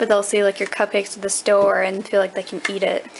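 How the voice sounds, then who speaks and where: A woman talks at a fairly quick pace. Her pitch is medium, and there is noticeable background noise. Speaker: camera operator. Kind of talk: casual chat. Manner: fast.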